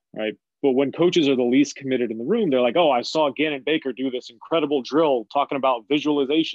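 Here is a man with an unremarkable speaking voice at a medium pitch. He talks at a fairly quick pace with ordinary pitch variation. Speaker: basketball coach. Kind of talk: casual interview chat.

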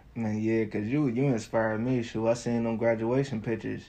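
Speaking at a moderate pace, a man has a dark, mellow tone and fairly low pitch, with little pitch movement.

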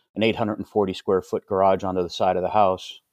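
Someone speaks with an American accent in a plain, everyday voice at a moderate pace. The sound is dry and close with no echo, over a quiet background. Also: man. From northeastern Pennsylvania (Hazleton). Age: 50s. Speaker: army veteran and CrossFit coach. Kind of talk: casual chat.

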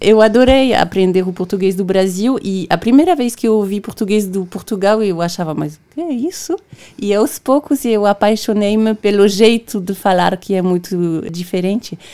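Speaking at a moderate pace with a French accent, a woman has a dark, mellow tone, medium pitch and ordinary pitch variation. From Brittany, France. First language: French (speaking Portuguese). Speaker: documentary maker and radio presenter. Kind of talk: radio interview. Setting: radio studio.

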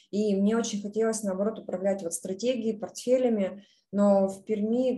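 A woman speaks in a somewhat breathy, medium-pitched voice with fairly even intonation. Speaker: project portfolio manager. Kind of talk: online presentation.

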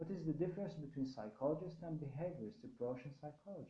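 Through audible room echo, a man speaks very fast in a fairly high, somewhat breathy voice with a dark, mellow tone. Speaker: university lecturer. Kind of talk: lecture.

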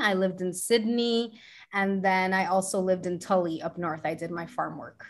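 A woman with an American accent, medium in pitch, with ordinary pitch variation. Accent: American-sounding English with slight Chilean. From Santiago, Chile. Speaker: self love coach and astrologer. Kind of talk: casual interview chat. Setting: video call.

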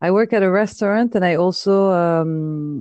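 A woman talks in a French accent at medium pitch with ordinary pitch variation. Her tone is dark and mellow, and the sound is dry and close with no echo. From France. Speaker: podcaster. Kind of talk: casual chat. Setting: phone call.

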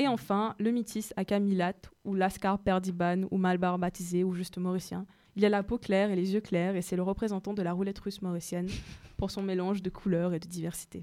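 With a dark, mellow tone, a woman talks fairly quickly at a medium pitch, her delivery monotone and flat. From Mauritius. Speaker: radio show host. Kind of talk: casual radio chat with prepared segment.

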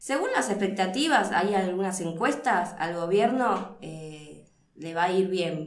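The woman's voice sits at a medium pitch, with lively intonation and a very slow pace. Noticeable background noise and audible room echo are present. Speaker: political scientist. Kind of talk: interview.

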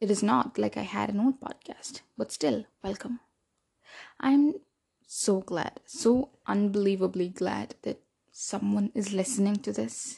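Against a quiet background, a woman talks at a fairly slow pace in a medium-pitched, somewhat breathy voice with a dark, mellow tone. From India. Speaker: student podcaster. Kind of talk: casual podcast monologue.

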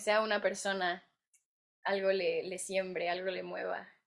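A woman speaks in a plain, everyday voice at a fairly slow pace, her intonation fairly even. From Mexico. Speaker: actress and writer. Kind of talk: interview.

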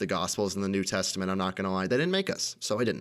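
A man's fairly low, fairly evenly intoned, unremarkable speaking voice with an American accent, on a very clean recording with a silent background. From United States. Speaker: podcast host. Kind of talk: personal monologue.

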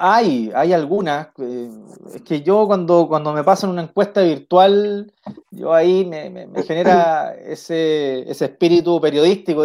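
A man speaks at a fairly high pitch with a dark, mellow tone. His pace is fairly slow, with ordinary pitch variation. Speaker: local council candidate. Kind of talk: interview.

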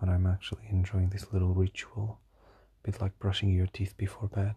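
The sound is dry and close with no echo over a quiet background. A somewhat breathy man talks at a fairly quick pace in a dark, mellow tone with monotone, flat intonation. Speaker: solo diary podcaster. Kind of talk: personal audio diary monologue. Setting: recording alone at night. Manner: halting, many fillers and repetitions.

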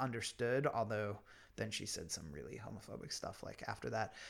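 A man talks in a Pennsylvania accent. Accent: American, Pennsylvania. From US, small-town Pennsylvania. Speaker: writer and podcaster. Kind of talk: interview about life story. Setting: at guest's home.

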